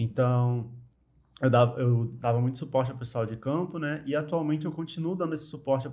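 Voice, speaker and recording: A man speaks with a normal speaking voice at a medium pitch. His pace is moderate and his intonation fairly even. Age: 20s. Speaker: engineer. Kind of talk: podcast interview.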